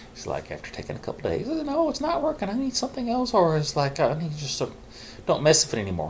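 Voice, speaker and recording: The voice moves at a very fast pace with very wide pitch swings. Noticeable background noise runs underneath. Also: man, high pitch for a man. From Arkansas. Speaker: mental health vlogger. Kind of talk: casual talk to camera.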